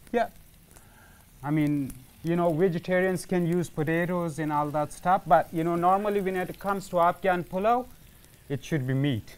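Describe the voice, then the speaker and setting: Here a man talks with a high pitch at a moderate pace. His pitch varies in an ordinary way. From Afghanistan, Kandahar. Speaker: cooking show guest, newcomer to Canada. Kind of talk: cooking demonstration chat. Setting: teaching kitchen studio. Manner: halting, many fillers. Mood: calm, earnest. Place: studio.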